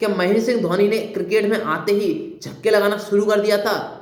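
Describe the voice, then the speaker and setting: At a moderate pace, the voice comes through noticeable background noise and audible room echo. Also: man. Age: young. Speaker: motivational speaker. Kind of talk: motivational talk.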